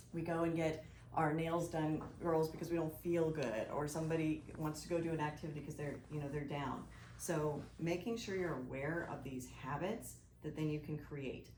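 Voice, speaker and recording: Over noticeable background noise and audible room echo, a woman speaks with a very deep, low pitch. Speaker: financial advisor, presenter. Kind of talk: presentation to business group. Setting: live audience in room. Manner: fast; animated.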